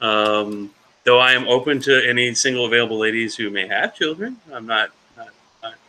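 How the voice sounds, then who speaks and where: An ordinary speaking voice belongs to this man, pitched at a medium level. He keeps his intonation fairly even. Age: 40s. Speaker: reseller and storage unit picker. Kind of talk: casual live auction chat.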